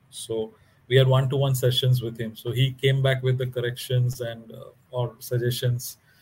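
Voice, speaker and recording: In a Bengali accent, a man speaks at a moderate pace, somewhat breathy and monotone in flat intonation, with big swings in loudness. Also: medium pitch for a man. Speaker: author and construction executive. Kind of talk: interview.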